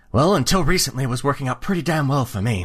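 Against a quiet background, a man races along at a very fast pace in a put-on character voice at medium pitch. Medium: actual play. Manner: plainspoken, stubborn.

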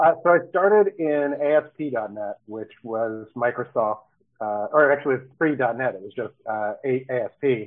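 In an American accent and a normal speaking voice, the speaker goes at a fairly slow pace with lively intonation and big swings in loudness. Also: man, medium pitch for a man. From Baltimore, Maryland. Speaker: software development manager. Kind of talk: casual interview.

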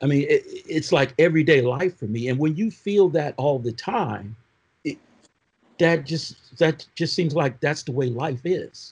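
Here is a man with a plain, everyday voice and an American accent. He speaks at a fairly slow pace, fairly high in pitch with ordinary pitch variation. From Oakland, California and Michigan. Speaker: prosecutor and former police officer. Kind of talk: panel discussion.

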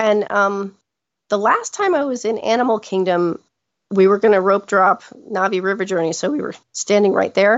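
Fairly even intonation and a moderate pace in a normal speaking voice. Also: woman, medium pitch for a woman. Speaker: trip guest sharing Disney visit. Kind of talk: casual interview chat.

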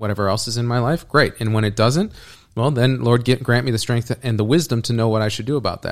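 A plain, everyday voice speaks at a fairly quick pace with fairly even intonation. The very clean recording has a silent background. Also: man. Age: 30s. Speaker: ministry leader. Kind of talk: interview. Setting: in person.

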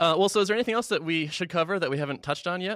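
Over a silent background in a very clean recording, a man talks very fast with a bright, sharp tone and vocal fry, the sound dry and close with no echo. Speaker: podcast host. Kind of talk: casual interview.

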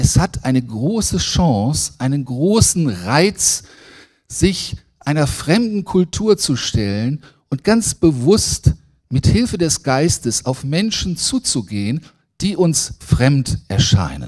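On a very clean recording with a silent background, a man speaks at a very slow pace in a fairly high pitch with very wide pitch swings. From Lower Saxony, Germany (Braunschweig). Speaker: preacher, theology lecturer. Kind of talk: sermon. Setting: church service.

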